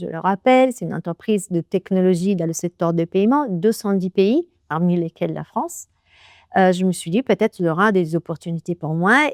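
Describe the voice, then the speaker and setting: A woman with an Italian accent speaks at a moderate pace with ordinary pitch variation, recorded very cleanly against a silent background with a dry, close sound and no echo. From Italy, Naples. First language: Italian (speaking French). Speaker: business executive. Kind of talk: interview. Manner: halting.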